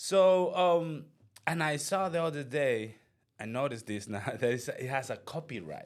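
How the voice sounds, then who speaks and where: Recorded very cleanly with a silent background, a man with a Spanish accent speaks at a moderate pace with fairly high pitch and lively intonation. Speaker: real estate agent and channel host. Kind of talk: casual interview chat. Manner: halting.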